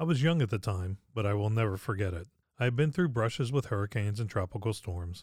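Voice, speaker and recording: A man with an American accent has an ordinary speaking voice, fairly low in pitch, with ordinary pitch variation. He talks at a fairly quick pace on a very clean recording with a silent background. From Pittsburgh, Pennsylvania. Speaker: podcast host. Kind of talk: scripted narration.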